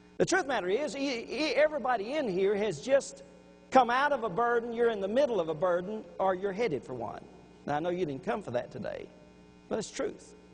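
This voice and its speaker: Speaking at a moderate pace in an American accent, a man with a high voice swings widely in pitch, and the room echo is audible. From Louisiana, Baton Rouge. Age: 60s. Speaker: preacher. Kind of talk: sermon.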